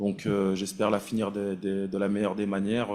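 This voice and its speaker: A man's fairly low pitch on a very clean recording with a silent background. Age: 30s. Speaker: national team goalkeeper and captain. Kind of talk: press conference. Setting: press conference room. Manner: halting, many fillers and repetitions.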